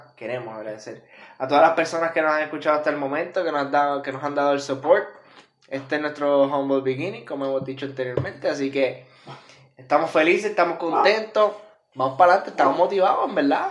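At a very fast pace, a man with a Puerto Rican accent talks in an animated tone at a fairly high pitch. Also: ordinary pitch variation. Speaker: podcast co-host. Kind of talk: casual chat. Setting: studio.

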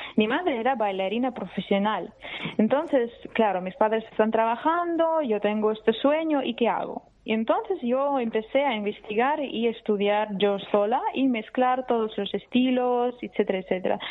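Speaking in an unremarkable speaking voice, a woman keeps a moderate pace. Her fairly high pitch shows ordinary variation. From Russia. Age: young. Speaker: journalist. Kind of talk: interview.

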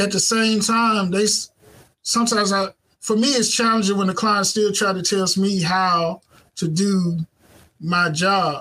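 An American-accented man with a high pitch uses a raised, projected voice at very even loudness. He speaks at a fairly slow pace with long, frequent pauses. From Mississippi, US South (Clarksdale). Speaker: web and graphic designer, business owner, former teacher. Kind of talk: casual interview chat. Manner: hesitant, many fillers.

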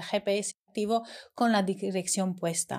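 A woman talks at a medium pitch and a fairly slow pace. The recording is very clean, with a silent background. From Romania. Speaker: eyelash extension educator. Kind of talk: casual chat.

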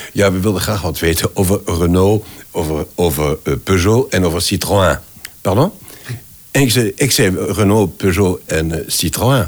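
A man speaks with a French accent in a very deep, low voice. His pitch varies in an ordinary way at a fairly slow pace. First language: French (speaking Dutch). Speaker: voice actor and voice director. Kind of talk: interview conversation. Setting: at his home.

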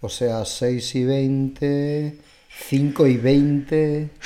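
A man speaks in a fairly high pitch. His tone is dark and mellow, with fairly even intonation. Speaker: podcast host, cooking content creator. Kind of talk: casual chat.

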